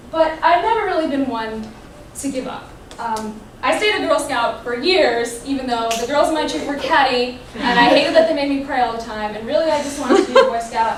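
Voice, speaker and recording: High-pitched and lively, a woman speaks at a fairly quick pace amid noticeable background noise and audible room echo. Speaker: student public speaker. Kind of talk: personal storytelling talk. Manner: fast.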